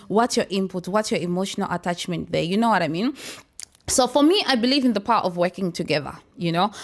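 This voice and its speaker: A woman talks at a very fast pace in an animated, energetic tone with lively intonation. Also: medium pitch for a woman. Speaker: talk show host. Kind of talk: casual panel discussion. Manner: loud, energetic.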